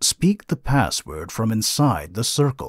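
A man's put-on character voice at a fairly slow pace, in a very clean recording with a silent background. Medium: dub. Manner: cold, mechanical.

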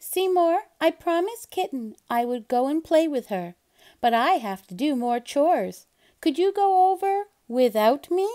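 The put-on character voice moves at a moderate pace with very wide pitch swings. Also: woman, high pitch for a woman. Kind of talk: reading a children's story aloud. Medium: read story. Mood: coaxing.

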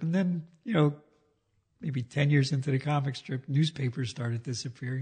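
A man's very fast, somewhat breathy voice at medium pitch, with ordinary pitch variation. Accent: American. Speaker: cartoonist. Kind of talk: casual interview.

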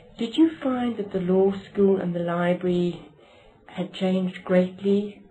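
There is light background noise as a woman speaks at a fairly slow pace. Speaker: interviewer. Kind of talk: oral history interview. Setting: library. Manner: formal.

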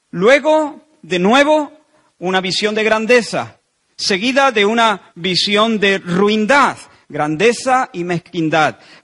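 A man at a very slow pace against a quiet background. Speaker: pastor. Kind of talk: sermon. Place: church. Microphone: handheld.

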